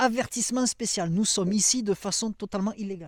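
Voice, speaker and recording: A man speaks at a high pitch in an animated tone with ordinary pitch variation and a moderate pace. The recording is very clean with a silent background, in a dry, close sound with no echo. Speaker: YouTuber, survivalist gear reviewer. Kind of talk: casual outdoor product review. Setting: outdoors in a forest at dusk.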